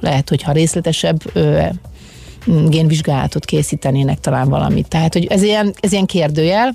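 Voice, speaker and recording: A woman's very deep, low voice, fairly quick and lively in intonation, over noticeable background noise. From Hungary, Szolnok. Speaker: former water polo player. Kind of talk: interview. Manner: halting.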